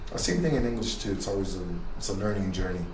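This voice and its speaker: A man is speaking here. Noticeable background noise and audible room echo are in the recording. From Los Angeles, Koreatown. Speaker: graffiti artist. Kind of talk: interview.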